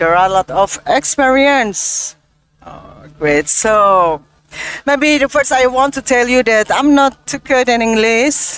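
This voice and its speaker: With an Indonesian accent, a woman speaks very slowly at a high pitch with lively intonation, in a dry, close sound with no echo. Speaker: podcast host. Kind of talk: interview.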